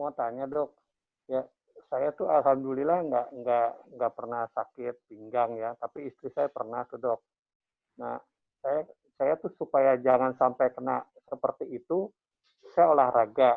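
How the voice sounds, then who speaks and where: At a fairly slow pace, a man talks at a medium pitch with ordinary pitch variation and long, frequent pauses. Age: 60s. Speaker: caller. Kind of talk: call-in question.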